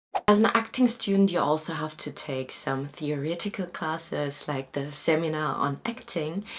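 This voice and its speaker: Over noticeable background noise, a woman with a non-native accent speaks at a moderate pace in a very deep, low pitch, with lively intonation and hardly any pauses. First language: not Korean. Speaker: acting student and vlogger. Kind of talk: informational vlog. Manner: casual, with fillers.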